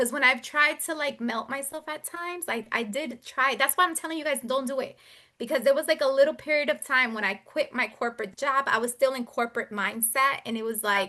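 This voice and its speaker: In a raised, projected voice, a woman talks at a fairly quick pace with a high pitch, ordinary pitch variation, and a bright, sharp tone. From Providence, Rhode Island, US; Puerto Rican. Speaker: business owner / entrepreneur speaker. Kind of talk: talk to a group with Q&A. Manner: fast; animated.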